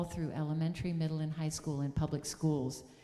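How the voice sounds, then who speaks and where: A woman with a very deep, low voice speaks in an upstate New York accent, with audible room echo. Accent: American (upstate New York). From US Northeast, upstate New York (Syracuse area). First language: German. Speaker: music teacher and speaker at a church service. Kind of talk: sermon.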